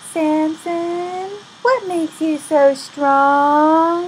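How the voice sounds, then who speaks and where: A woman uses a put-on character voice at an extremely high pitch. She speaks at a very slow pace over clear background noise. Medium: read story.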